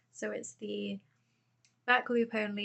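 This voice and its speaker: A woman with a British accent, speaking at a fairly slow pace. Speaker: crochet vlogger. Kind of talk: casual vlog tutorial. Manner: soft-spoken; hesitant, with frequent fillers. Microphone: phone microphone.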